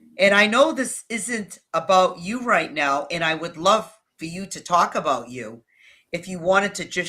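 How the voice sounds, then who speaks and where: A New England accent with lively intonation. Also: woman. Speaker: video strategist. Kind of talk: interview.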